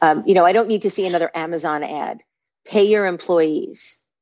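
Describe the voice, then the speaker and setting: A woman with a New York accent speaks at a fairly low pitch. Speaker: branding consultant. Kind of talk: interview.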